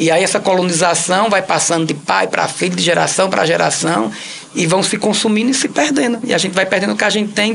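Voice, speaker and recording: With a Cariri accent, the speaker talks at a fairly quick pace amid noticeable background noise. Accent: Cariri accent, kept for life. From Ceará, Cariri (Crato). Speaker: actor and comedian. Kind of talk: interview. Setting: radio studio.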